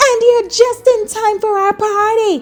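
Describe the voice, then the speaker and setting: A woman's put-on character voice, squeaky and extremely high-pitched, at a moderate pace. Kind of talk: bedtime story. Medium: read story. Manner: warm, hearty.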